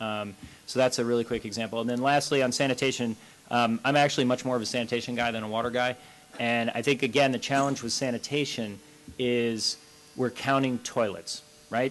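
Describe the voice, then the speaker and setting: Someone talks at a fairly quick clip. Background noise is noticeable throughout. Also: man. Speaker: panelist, water and sanitation NGO expert. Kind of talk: panel discussion Q&A. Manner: fast; animated.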